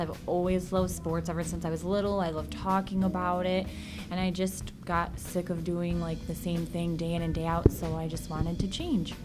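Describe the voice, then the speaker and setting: With a Chicago-area accent, the speaker goes at a moderate pace amid audible room echo and music in the background. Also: woman. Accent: Chicago-area Midwestern American. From Illinois, Aurora. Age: 20s. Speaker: broadcasting student. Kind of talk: interview.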